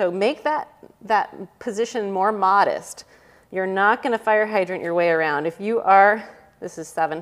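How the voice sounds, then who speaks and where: Over a quiet background, a woman with an upbeat tone speaks at a moderate pace and medium pitch with ordinary pitch variation. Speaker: fitness instructor. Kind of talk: guided follow-along fitness class, cueing exercises. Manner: brisk, upbeat, rhythmic cueing with short imperative commands and counting; casual and encouraging, with self-deprecating asides. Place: home room.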